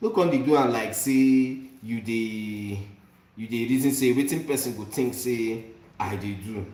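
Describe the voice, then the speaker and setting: With a Nigerian accent and ordinary pitch variation, the voice carries audible room echo. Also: man. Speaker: vlogger. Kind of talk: casual chat. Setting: cooking while talking. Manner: animated.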